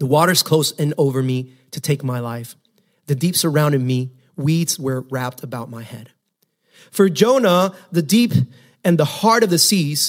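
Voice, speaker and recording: In a normal speaking voice, a man with a fairly high pitch speaks at a moderate pace with lively intonation. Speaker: pastor. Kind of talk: sermon; fervent prayer. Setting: church. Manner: fervent, earnest, pleading.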